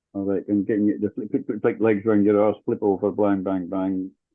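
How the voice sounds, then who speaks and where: With a northern English accent, a man speaks at a moderate pace in a fairly low pitch. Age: 60s. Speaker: dance teacher. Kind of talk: casual chat.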